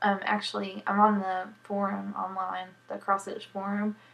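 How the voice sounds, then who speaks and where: Noticeable background noise beneath a monotone, flat intonation. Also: woman. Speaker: cross stitcher and knitter. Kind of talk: casual podcast talk to camera. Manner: mumbles at times.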